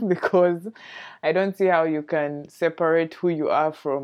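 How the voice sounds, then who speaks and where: A woman speaks at a fairly slow pace with fairly even intonation. The background is quiet. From Uganda. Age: 20s. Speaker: podcast host. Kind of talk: solo podcast monologue.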